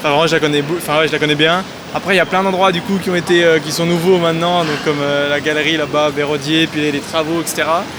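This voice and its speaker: Over noticeable background noise, a man with a fairly high pitch talks at a very fast pace in a flat monotone. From France, Loire (near Saint-Étienne). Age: 20s. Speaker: city resident interviewee. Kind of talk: interview testimony. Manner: hesitant.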